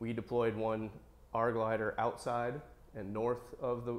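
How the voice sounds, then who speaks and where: The man talks at a moderate pace. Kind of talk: interview answer. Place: workshop. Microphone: lapel.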